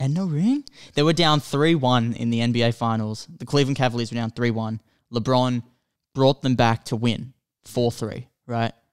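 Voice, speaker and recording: A man with an Australian accent speaks at a moderate pace in a medium pitch, with ordinary pitch variation against a quiet background. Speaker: movie podcast co-host. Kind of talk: casual chat. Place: home room. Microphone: studio mic.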